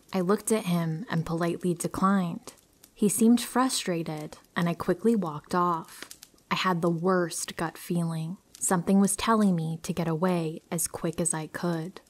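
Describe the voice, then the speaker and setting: With a normal speaking voice, a woman speaks at a moderate pace in a fairly low pitch, her intonation fairly even. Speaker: horror story narrator. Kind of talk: story reading.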